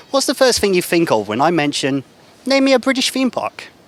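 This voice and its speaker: Very wide pitch swings from a man speaking at a moderate tempo amid noticeable background noise. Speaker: TV presenter. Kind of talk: TV feature segment intro.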